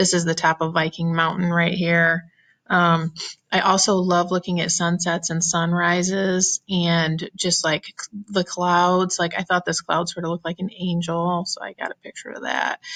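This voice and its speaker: With an animated tone, a woman talks at a moderate pace, her sound dry and close with no echo. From Ohio. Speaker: teacher. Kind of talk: casual self-introduction presentation to students. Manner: chatty, animated.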